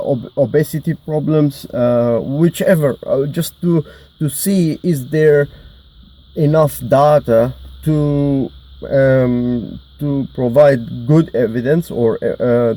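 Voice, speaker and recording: A man with a non-native accent and a dark, mellow tone speaks very slowly at a fairly high pitch, with ordinary pitch variation. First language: not English. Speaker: mental health vlogger. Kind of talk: personal monologue. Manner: halting, many fillers; mumbling.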